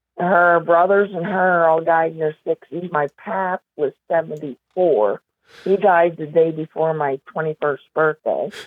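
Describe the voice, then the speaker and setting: A woman with a central Pennsylvania accent speaks at a fairly low pitch with fairly even intonation. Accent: central Pennsylvania rural American. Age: 60s. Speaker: documentary subject telling her life story. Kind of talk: interview conversation.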